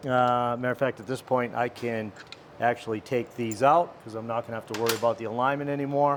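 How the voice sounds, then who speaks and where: Noticeable background noise accompanies a man of medium pitch talking at a moderate pace. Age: 60s. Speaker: motorcycle mechanic. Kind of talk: tutorial. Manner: casual.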